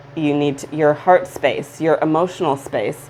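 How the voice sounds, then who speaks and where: Over noticeable background noise, a woman speaks at a fairly slow pace in a very deep, low pitch, her intonation fairly even. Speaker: tarot reader. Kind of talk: tarot reading. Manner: stutters; halting.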